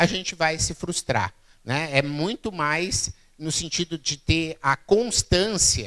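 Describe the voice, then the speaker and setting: A man's fairly high, bright and sharp voice with lively intonation at a very slow pace. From southern Brazil, Rio Grande do Sul (Santa Maria). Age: 40s. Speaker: keynote speaker, innovation expert. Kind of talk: public talk. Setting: stage with audience. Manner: conversational, frequent fillers.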